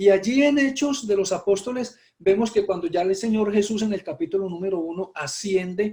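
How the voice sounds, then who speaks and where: A high-pitched male voice with a dark, mellow tone, lively intonation and a moderate pace. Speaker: pastor. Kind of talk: sermon.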